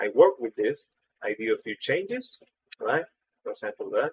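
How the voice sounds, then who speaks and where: A man with a non-native accent talks at a moderate pace in a dry, close recording with no echo. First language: not English. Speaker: 3D artist. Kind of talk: tutorial. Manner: casual, filler-heavy.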